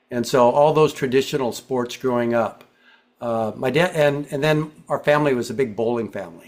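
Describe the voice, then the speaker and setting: Moderately paced delivery in an unremarkable speaking voice, its pitch varying in an ordinary way. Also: man, medium pitch for a man. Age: 60s. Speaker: pickleball player, retired PE teacher. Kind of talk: interview.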